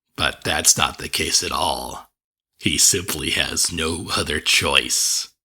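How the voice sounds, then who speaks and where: A put-on character voice from a man, fairly slow, with a very deep, low pitch. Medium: read story. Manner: genial, proud, clinically detached.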